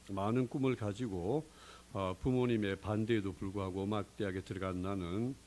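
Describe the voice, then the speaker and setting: A man with a Gyeongsang accent, fairly low in pitch, with a dark, mellow tone and a fairly slow pace. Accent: Gyeongsang dialect, still present. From South Korea, Daegu (Gyeongsang). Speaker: recovering gambling addict. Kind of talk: testimony.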